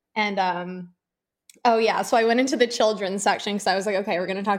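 With an American accent and fairly even intonation, the speaker talks at a very fast pace in a very clean recording with a silent background. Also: woman. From US Northeast. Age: 30s. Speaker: podcast guest, social media user. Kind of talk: casual chat.

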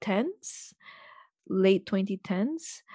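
A woman speaks at a medium pitch with a dark, mellow tone. The recording is very clean, with a silent background. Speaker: podcast host. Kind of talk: casual interview.

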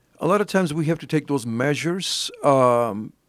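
Fairly high-pitched man with an American accent and a plain, everyday voice, at a moderate pace with ordinary pitch variation. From Alpine, West Texas. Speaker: ordained minister and county judge candidate. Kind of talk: interview.

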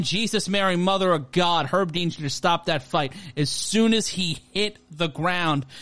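Over a quiet background, a man speaks in a bright, sharp, animated tone with ordinary pitch variation. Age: 30s. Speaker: fight commentator. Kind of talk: live fight commentary. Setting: live stream broadcast. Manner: animated, rapid play-by-play with jokes.

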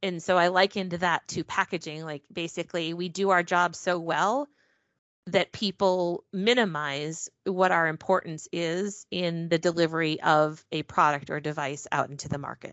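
A woman with an unremarkable speaking voice talks at a moderate pace. Her pitch sits fairly low and her intonation stays fairly even. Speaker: packaging engineering specialist. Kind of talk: casual interview.

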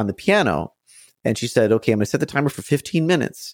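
Talking very fast with vocal fry and lively intonation, a man with an American accent comes through dry and close with no echo in a very clean recording with a silent background. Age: 30s. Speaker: musician and piano teacher. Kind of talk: interview.

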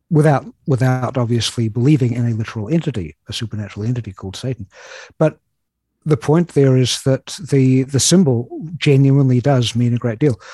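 Somewhat breathy and dark, mellow in tone, a man talks at a fairly quick pace with ordinary pitch variation in a dry, close sound with no echo. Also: medium pitch for a man. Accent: New Zealand. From New Zealand. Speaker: writer. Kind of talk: casual chat.

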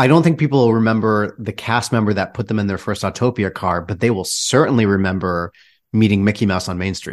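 In a quiet background, a man with a plain, everyday voice talks at a moderate pace and a fairly low pitch. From Michigan. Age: 30s. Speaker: theater director. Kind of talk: casual chat.

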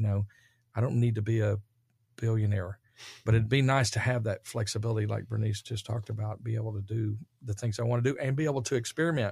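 Speaking very fast with a Texan accent, a man has a medium pitch and a somewhat breathy voice with fairly even intonation. The recording is very clean, with a silent background. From Dallas, Texas. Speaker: real estate developer. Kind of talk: casual interview. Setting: studio.

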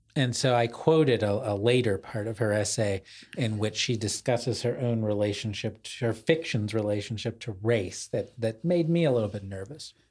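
With hardly any pauses, a man talks at a moderate pace in a medium pitch with ordinary pitch variation and a somewhat breathy sound, on a very clean recording with a silent background. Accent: American. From US suburbs. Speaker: podcast co-host, literary writer. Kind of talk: casual intellectual conversation.

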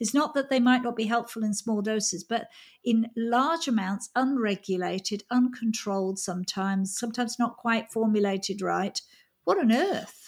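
In a very clean recording with a silent background, a woman with a fairly high pitch speaks at a moderate pace, somewhat breathy, with ordinary pitch variation. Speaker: podcast host. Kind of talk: interview conversation.

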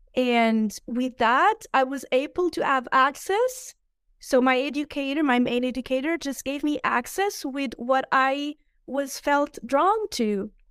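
The voice carries a Portuguese accent and lively intonation at a fairly slow pace. The recording is very clean with a silent background and a dry, close sound with no echo. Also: woman, high pitch for a woman. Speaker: ecologist and impact investor. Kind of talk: casual interview conversation. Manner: halting, searching for words.

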